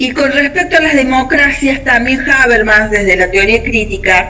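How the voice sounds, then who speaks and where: Speaking at a moderate pace with lively intonation, a woman is heard with audible room echo and noticeable background noise. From Argentina. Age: 60s. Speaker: discussion participant. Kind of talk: group discussion.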